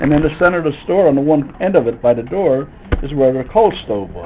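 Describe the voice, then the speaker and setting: Noticeable background noise sits behind a man talking at a moderate pace, his fairly high pitch carried by lively intonation. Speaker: grandfather. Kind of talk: storytelling interview answer.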